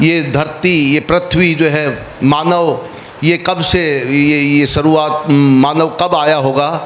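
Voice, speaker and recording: A man talks in a fairly high pitch with flat, monotone intonation and very even loudness. Noticeable background noise sits behind him. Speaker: workshop facilitator. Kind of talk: workshop talk. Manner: halting, many fillers.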